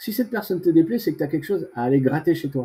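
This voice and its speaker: A man's dark, mellow tone. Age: 60s. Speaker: veteran bodybuilder. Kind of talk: interview. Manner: casual; halting.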